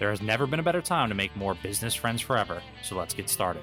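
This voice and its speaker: A man's very fast speech, fairly low in pitch with lively intonation, over music in the background. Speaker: podcast host. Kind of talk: podcast intro.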